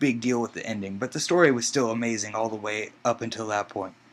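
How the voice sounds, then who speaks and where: Quick-paced and bright, a man's voice comes through with a sharp tone at a fairly quick clip. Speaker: aspiring video game writer. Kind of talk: contest entry video monologue. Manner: halting, stuttering; animated.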